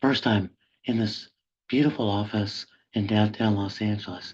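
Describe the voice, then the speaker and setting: A man talks at a fairly slow pace in a fairly low pitch. His voice sounds somewhat breathy. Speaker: professor and public intellectual. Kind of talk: webinar lecture. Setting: video call from office. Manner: halting, deliberate.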